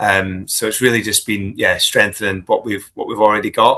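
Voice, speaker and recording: In a Scottish accent, a man talks at a moderate pace. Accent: Scottish, still noticeable. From Scotland. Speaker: business executive. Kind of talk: interview. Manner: hesitant, many fillers and repeats.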